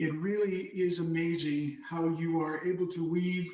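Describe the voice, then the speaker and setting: Room echo is audible around a man's high voice. His intonation stays monotone and flat. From Miami, Florida (Cuban-born). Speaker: lawyer. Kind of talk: prepared speech.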